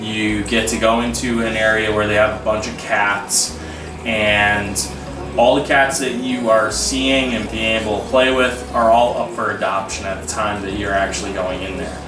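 Moderate pace and ordinary pitch variation, with music in the background. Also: man, fairly low pitch for a man. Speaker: vlogger. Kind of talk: casual vlog chat. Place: home room. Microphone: camera far.

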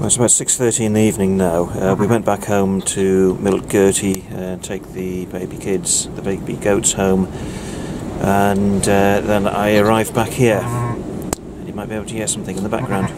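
The speaker talks at a moderate pace against noticeable background noise. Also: man. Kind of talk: casual vlog chat. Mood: calm, slightly subdued. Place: farm machine. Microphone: phone near.

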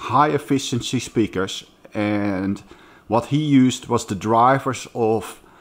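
Very slowly, a man speaks with ordinary pitch variation. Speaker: speaker. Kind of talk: casual vlog chat. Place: home room. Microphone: phone near.

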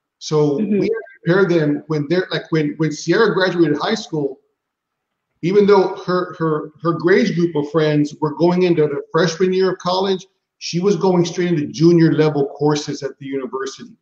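The man has an American accent and a high pitch. He keeps a moderate pace and fairly even intonation, with audible room echo. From San Antonio, Texas. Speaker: high school principal. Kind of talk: casual interview. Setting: video call. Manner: repetitive, halting. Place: home room. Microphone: video call.

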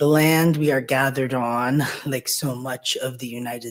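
This man talks at a fairly slow pace. His pitch shows ordinary variation. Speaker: event host introducing a talk. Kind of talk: formal introduction speech. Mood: warm, lightly joking. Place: hall. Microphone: podium.

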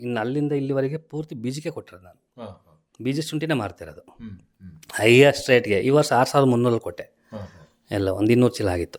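A plain, everyday voice with big swings in loudness. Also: man, medium pitch for a man, ordinary pitch variation. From India, Karnataka, Hassan district (Arkalgud). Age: 40s. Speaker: farmer. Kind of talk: interview.

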